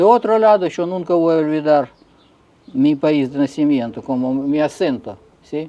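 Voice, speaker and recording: In a Russian accent, a man with a fairly high pitch and a dark, mellow tone speaks at a fairly slow pace with ordinary pitch variation. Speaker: figure skater and coach. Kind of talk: interview. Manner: halting.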